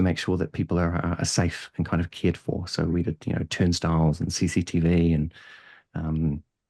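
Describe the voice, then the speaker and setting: A man's very deep, low, dark and mellow voice with a slight New Zealand accent, fairly quick, in a dry, close sound with no echo and a very clean recording with a silent background. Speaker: head of data and analytics. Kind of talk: podcast interview. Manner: hesitant, many fillers.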